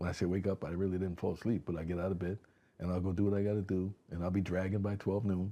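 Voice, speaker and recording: A man's very deep, low voice with a dark, mellow tone and an American accent. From Connecticut, West Haven. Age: 60s. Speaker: community organization founder, former law enforcement. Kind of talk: casual interview chat. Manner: animated.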